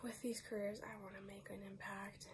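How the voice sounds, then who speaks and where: A woman is speaking. Noticeable background noise runs behind her voice. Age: 20s. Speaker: nurse. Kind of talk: grant application video, personal statement.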